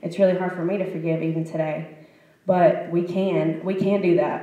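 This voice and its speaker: Noticeable background noise and audible room echo fill this recording. A woman speaks with fairly even intonation. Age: young. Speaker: panelist, youth group chaperone. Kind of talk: panel talk.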